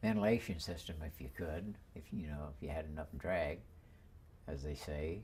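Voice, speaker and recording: The voice has vocal fry and ordinary pitch variation. The pace is moderate. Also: man, very deep, low pitch for a man. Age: 80s+. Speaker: war veteran. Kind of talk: interview answer.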